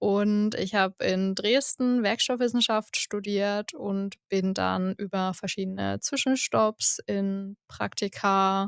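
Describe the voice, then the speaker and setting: On a very clean recording with a silent background and a dry, close sound with no echo, a woman speaks at a very slow pace. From eastern Germany, Saxony (Görlitz). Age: 20s. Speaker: production engineer. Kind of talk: podcast interview. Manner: casual, enthusiastic.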